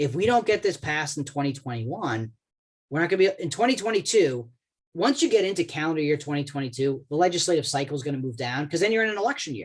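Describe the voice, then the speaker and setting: Very fast and with lively intonation, a man talks in a fairly high-pitched voice with an American accent. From Boston, US. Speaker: government relations expert, lawyer. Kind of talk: webinar presentation. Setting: online webinar call.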